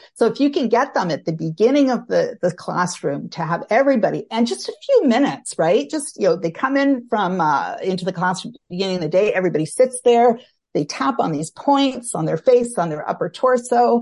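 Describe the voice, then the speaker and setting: A woman with a Canadian accent speaks at a fairly quick pace, with hardly any pauses. Her pitch swings very widely, and there is vocal fry. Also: fairly high pitch for a woman, quiet background. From Canada. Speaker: social worker and tapping trainer. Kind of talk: interview, casual chat.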